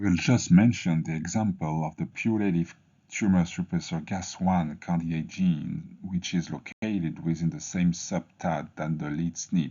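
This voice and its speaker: A man speaks with a very deep, low pitch and ordinary pitch variation at a moderate pace. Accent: French. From France. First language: French. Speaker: medical researcher. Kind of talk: scripted presentation of research. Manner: formal.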